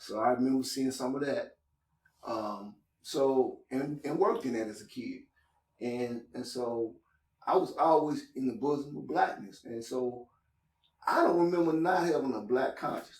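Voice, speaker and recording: A man talks at a moderate pace. His pitch sits in the medium range, with ordinary variation. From Louisville, Kentucky (US South). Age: 60s. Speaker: community organizer. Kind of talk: casual chat. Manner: halting.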